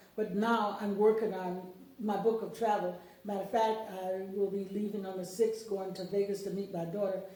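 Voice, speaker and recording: A woman with a Mississippi accent speaks at a moderate pace and medium pitch in a monotone, flat delivery, with audible room echo and noticeable background noise. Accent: Southern US (Mississippi). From US South, Mississippi (Lawrence County). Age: 70s. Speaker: book author. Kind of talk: interview. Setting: radio studio.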